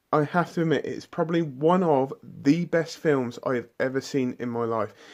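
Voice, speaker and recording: A fairly high-pitched man with a British accent, at a moderate pace and with ordinary pitch variation, against a quiet background. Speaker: film reviewer. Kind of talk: casual video review monologue. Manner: halting, many restarts and fillers; animated, enthusiastic.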